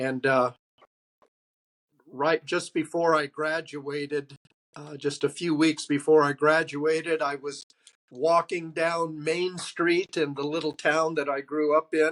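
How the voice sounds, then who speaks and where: A man with a Californian accent and a fairly high voice speaks fairly slowly in a flat monotone, recorded dry and close with no echo. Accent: American (Californian). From Southern California. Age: 70s. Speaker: pastor and Vietnam veteran. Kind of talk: interview testimony. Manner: halting, many fillers.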